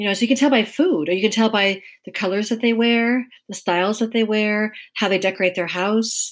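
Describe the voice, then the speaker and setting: Here a woman talks at a fairly quick pace with ordinary pitch variation. The recording is very clean, the background silent. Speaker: podcast guest, elements practitioner. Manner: lacks a commanding, authoritative tone.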